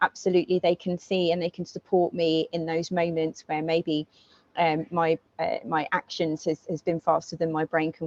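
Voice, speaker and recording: A woman with a fairly low pitch speaks in a monotone, flat way, and the sound is dry and close with no echo. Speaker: guest speaker, project manager. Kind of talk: presentation talk. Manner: fast; speeds up when passionate.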